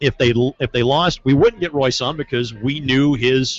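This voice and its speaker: A man with an American accent speaks in a plain, everyday voice at a medium pitch and moderate pace. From southern Indiana, US. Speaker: sports play-by-play broadcaster. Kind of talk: casual podcast chat.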